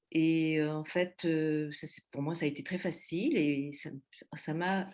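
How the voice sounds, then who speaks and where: A woman speaks at fairly low pitch, her intonation fairly even. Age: 60s. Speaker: eating disorder patient giving testimony. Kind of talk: testimony. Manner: halting, many hesitations.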